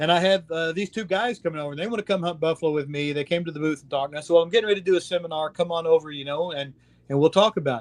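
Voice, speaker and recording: A man with an American accent speaks very fast at a high pitch with ordinary pitch variation. His loudness swings widely. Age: 60s. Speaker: safari outfitter. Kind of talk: interview. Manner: animated.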